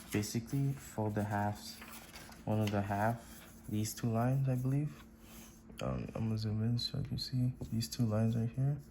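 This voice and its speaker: Quiet speech at a moderate pace. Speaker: origami and art YouTuber. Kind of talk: tutorial. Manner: quiet, low volume because it is midnight; casual, hesitant with many fillers.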